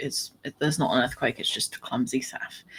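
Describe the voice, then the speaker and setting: Mumbling, a woman speaks with a very deep, low pitch. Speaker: podcast host and fiction writer. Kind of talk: casual chat.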